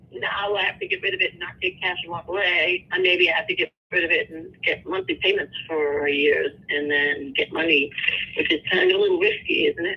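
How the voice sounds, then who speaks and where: A woman talks at a fairly quick pace, with noticeable background noise behind her. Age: 60s. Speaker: home seller. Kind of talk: phone negotiation. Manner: hesitant, halting.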